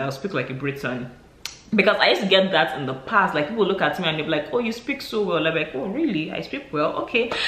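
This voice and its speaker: Noticeable background noise and audible room echo surround a man with a high pitch. He sounds animated, with very wide pitch swings. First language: non-English mother tongue. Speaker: vlogger. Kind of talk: casual vlog monologue.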